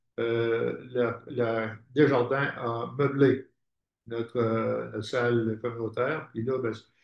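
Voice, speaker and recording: This man talks at a very slow pace. His pitch is medium and his intonation is monotone and flat. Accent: Quebec. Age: 80s+. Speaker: housing cooperative founder. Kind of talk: conference talk. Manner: halting.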